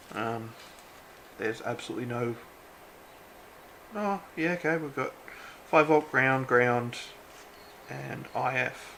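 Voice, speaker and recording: Noticeable background noise runs under a man talking at a fairly slow pace with long, frequent pauses. His medium pitch shows ordinary variation. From Australia. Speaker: electronics hobbyist. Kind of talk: casual unboxing talk to camera. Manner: casual, relaxed.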